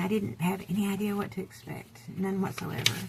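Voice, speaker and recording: The speaker is a woman. She is soft-spoken. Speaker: vintage seller. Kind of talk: casual talk to camera. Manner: quiet.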